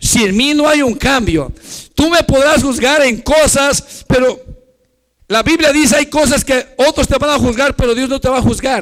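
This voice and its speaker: Delivered at a fairly slow pace, the speech has ordinary pitch variation. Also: man, extremely high pitch for a man. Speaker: pastor. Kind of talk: sermon. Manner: halting.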